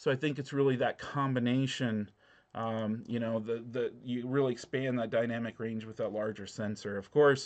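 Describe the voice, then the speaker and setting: A man speaks at a moderate pace. His pitch sits in the medium range. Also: fairly even intonation. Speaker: drone channel host. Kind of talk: live call-in stream. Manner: halting, stumbles over words.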